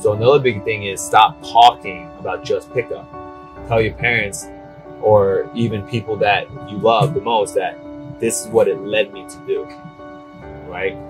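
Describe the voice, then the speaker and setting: With an American accent and a fairly low pitch, a man speaks with lively intonation and big swings in loudness. Long, frequent pauses break up his speech over music in the background. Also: moderate pace. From New Jersey, USA. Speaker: dating coach; retired air force captain. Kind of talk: casual talk to camera.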